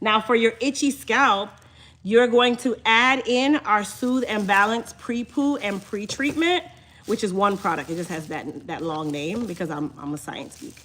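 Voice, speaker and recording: A woman with a slight Jamaican accent speaks at a fairly slow pace in an animated tone. Her pitch swings very widely and her loudness shifts a lot. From Chicago, Jamaican family. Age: 30s. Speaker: hair care business owner. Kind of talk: live stream chat with viewers.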